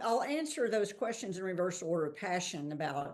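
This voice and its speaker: A woman's medium-pitched voice with a Texan accent, a fairly quick pace and very wide pitch swings. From Texas. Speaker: investment fund founder. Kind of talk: podcast interview.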